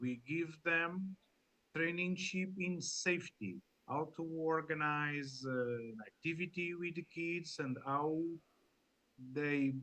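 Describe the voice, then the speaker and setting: The speaker uses a Portuguese accent and talks at a very slow pace. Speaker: sea scout leader. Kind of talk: panel discussion. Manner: halting.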